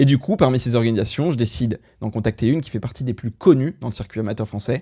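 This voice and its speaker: Talking at a very fast pace, a man with a medium pitch, ordinary pitch variation and a dark, mellow tone is heard on a very clean recording with a silent background. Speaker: YouTuber, aspiring MMA announcer. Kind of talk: vlog narration. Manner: loud.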